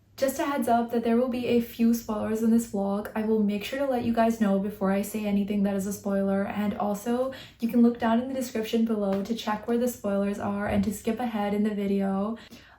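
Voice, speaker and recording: Over noticeable background noise, a woman with a fairly high pitch talks at a fairly quick pace with hardly any pauses and a monotone, flat intonation. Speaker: book vlogger. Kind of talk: casual vlog talk. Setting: at home at night.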